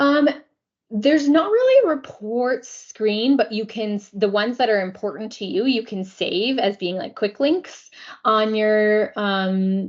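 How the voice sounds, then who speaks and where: This woman has a normal speaking voice, fairly high in pitch, moving at a moderate pace with lively intonation. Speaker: software implementation consultant. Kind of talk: software demo and training meeting.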